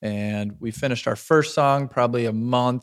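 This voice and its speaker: With an American accent, a man talks in a dry, close recording that has no echo. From Wisconsin, Stevens Point. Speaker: rapper and music producer. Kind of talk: casual chat.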